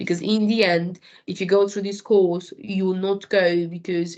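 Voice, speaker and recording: A woman speaks at a medium pitch. She talks with a non-native accent. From Romania. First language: Romanian. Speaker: food industry supervisor. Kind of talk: interview. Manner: halting.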